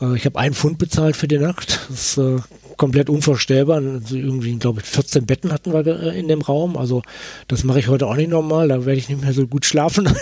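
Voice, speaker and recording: A man's somewhat breathy voice, dark and mellow in tone, fairly high in pitch, with ordinary pitch variation. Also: fairly quick pace. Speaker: author. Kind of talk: interview. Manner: halting.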